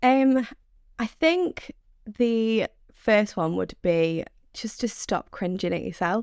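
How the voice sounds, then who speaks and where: A woman with a Mancunian accent talks at a very slow pace, with long, frequent pauses. Her fairly high pitch moves in very wide swings. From Manchester, northern England. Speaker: sales development rep. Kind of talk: podcast interview.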